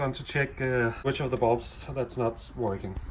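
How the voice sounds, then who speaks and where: A man with a non-native accent speaks at a fairly slow pace over noticeable background noise. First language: not English. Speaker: DIY car repair video maker. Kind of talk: tutorial. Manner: halting, many fillers.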